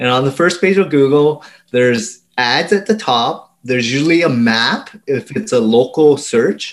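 With a Canadian accent, a man in an unremarkable speaking voice talks at a moderate pace with hardly any pauses, fairly high pitch and lively intonation. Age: 40s. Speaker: SEO agency owner. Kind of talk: interview.

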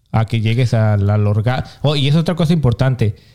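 The speaker is a man with a Mexican accent. His tone is dark and mellow. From Mexico. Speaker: podcast co-host. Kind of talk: casual chat.

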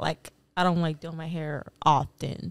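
A woman's very deep, low voice at a fairly slow pace, in a very clean recording with a silent background. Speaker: podcast guest. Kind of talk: casual chat.

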